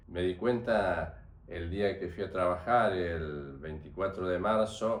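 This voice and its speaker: This man's voice sits very deep and low. Room echo can be heard around it. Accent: Rioplatense. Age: 70s. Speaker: retired doctor, dictatorship witness. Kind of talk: interview testimony. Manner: halting, with fillers.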